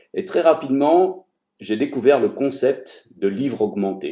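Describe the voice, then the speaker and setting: A man talks at a fairly slow pace. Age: 60s. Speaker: retired author and lecturer. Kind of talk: recruitment pitch to camera. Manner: hesitant, many fillers and repetitions.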